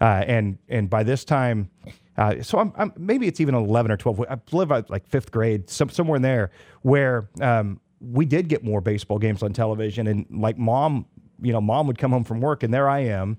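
A man with an American accent has an ordinary speaking voice at medium pitch with ordinary variation. The sound is dry and close with no echo, over a quiet background. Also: moderate pace. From Kansas. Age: 40s. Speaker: radio sales director and voiceover artist. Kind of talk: casual interview.

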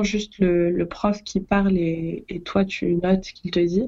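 Flat, monotone intonation marks this woman's delivery. Her pitch sits in the medium range. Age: 20s. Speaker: podcast co-host, law student. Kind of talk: casual chat.

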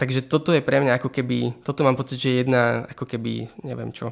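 This man's voice sits at a medium pitch and shows ordinary pitch variation. He speaks at a very fast pace. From Slovakia, Bratislava. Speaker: doctoral student and author. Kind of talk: interview. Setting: studio in Bratislava.

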